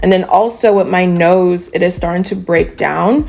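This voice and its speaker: The woman's speech moves at a fairly slow pace amid noticeable background noise. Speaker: beauty vlogger. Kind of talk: product review. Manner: casual, chatty.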